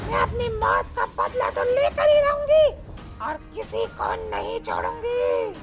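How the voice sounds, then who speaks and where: A cartoonish character voice at an extremely high pitch, fairly slow, with clear music playing in the background. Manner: menacing.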